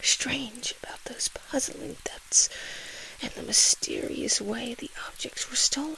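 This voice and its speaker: Noticeable background noise surrounds a whisper that moves very slowly. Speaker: ASMR creator. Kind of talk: comic book read-aloud. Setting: close to the microphone. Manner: soft-spoken.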